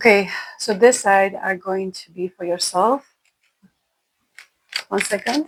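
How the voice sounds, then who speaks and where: A woman with a non-native accent speaks at a fairly slow pace, her pitch varying in an ordinary way. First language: not English. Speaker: tarot reader. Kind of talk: tarot reading.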